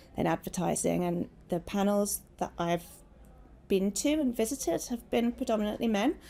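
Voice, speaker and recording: A woman speaks with a British accent, her loudness staying very even throughout. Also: moderate pace. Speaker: talent acquisition director. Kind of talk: panel discussion.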